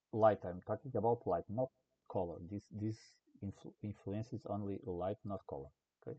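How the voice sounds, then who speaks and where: Somewhat breathy, a man with a non-native accent speaks at a fairly low pitch and a moderate pace, with ordinary pitch variation. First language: not English. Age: old. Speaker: game development tutorial creator. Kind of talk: tutorial. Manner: halting.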